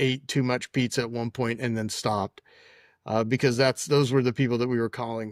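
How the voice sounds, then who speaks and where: An ordinary speaking voice from a man, medium in pitch, at a fairly quick pace. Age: 60s. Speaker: tech entrepreneur. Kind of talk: interview storytelling.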